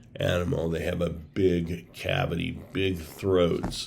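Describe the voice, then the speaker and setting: A man's very deep, low-pitched voice carries audible room echo. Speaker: bigfoot researcher and video creator. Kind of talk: casual monologue. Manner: conversational with filler words.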